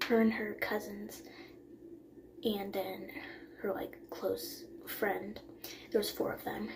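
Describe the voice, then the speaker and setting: A woman speaks quietly at a very slow pace, with long, frequent pauses. Audible room echo surrounds her voice. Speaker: book vlogger. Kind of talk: casual vlog talk. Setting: bathroom at night. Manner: quiet, hushed; hesitant with fillers.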